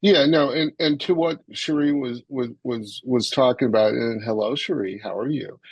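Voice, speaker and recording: An ordinary speaking voice, this man has a fairly high pitch, ordinary pitch variation and a moderate pace. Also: hardly any pauses. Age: 60s. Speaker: impact investor. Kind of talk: panel discussion Q&A. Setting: webinar.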